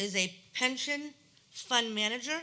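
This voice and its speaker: With audible room echo, a woman talks at a fairly high pitch with ordinary variation. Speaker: resident speaking at public hearing. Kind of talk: public comment at council meeting. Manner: animated.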